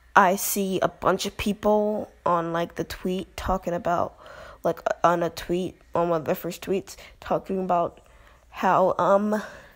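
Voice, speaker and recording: In a very clean recording with a silent background, a quiet woman speaks at a fairly slow pace with a medium pitch and monotone, flat intonation. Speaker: YouTuber commentator. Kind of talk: casual vlog commentary. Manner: quiet, close to the mic; rambling, hesitant. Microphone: very close to the mic.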